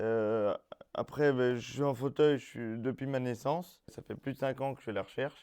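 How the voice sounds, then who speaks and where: Fairly even in intonation, a man's voice of medium pitch carries a dark, mellow tone. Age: 20s. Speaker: job seeker, wheelchair user. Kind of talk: testimony. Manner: casual, hesitant.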